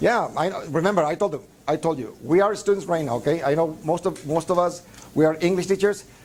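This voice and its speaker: A man talks at a very fast pace with a Spanish accent. His pitch is high for a man, with ordinary pitch variation. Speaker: English teacher trainer. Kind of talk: lecture. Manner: halting, many fillers.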